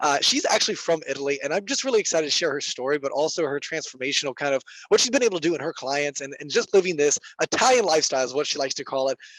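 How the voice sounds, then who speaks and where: Over noticeable background noise, a man with a fairly high pitch talks very fast with lively intonation, the sound dry and close with no echo. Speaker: podcast host. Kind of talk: podcast interview question.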